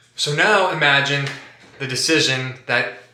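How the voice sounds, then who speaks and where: A fairly high-pitched man at a fairly slow pace, ordinary pitch variation and audible room echo. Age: 20s. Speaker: vlogger documenting his cancer treatment. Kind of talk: personal vlog monologue. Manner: casual, filler-heavy.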